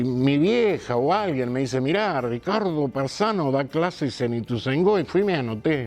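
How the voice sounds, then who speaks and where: A man at a medium pitch talks fairly slowly, his intonation lively. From Argentina, Buenos Aires area (Morón). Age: 60s. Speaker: actor and theatre teacher. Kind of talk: interview.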